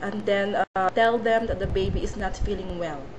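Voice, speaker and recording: A woman with a fairly high pitch and ordinary pitch variation speaks at a fairly slow pace, with noticeable background noise and audible room echo. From Philippines. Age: 20s. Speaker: job applicant, domestic helper. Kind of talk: job interview. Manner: halting.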